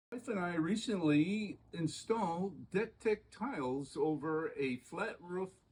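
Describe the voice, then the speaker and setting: With noticeable background noise behind him, a man speaks in a high pitch with very wide pitch swings. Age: 70s. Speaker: homeowner, DIY customer. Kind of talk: customer video testimonial.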